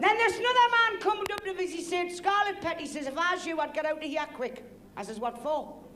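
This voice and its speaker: A woman with a Geordie accent talks at a very fast pace, her pitch extremely high and swinging very widely. Her voice is raised and projected, with audible room echo. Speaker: comedian. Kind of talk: stand-up.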